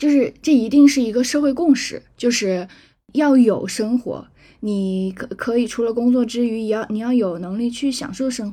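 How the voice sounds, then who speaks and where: Speaking at a moderate pace, a woman has a dark, mellow tone, a high pitch with ordinary variation, and big swings in loudness. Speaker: legal professional living abroad. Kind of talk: casual chat.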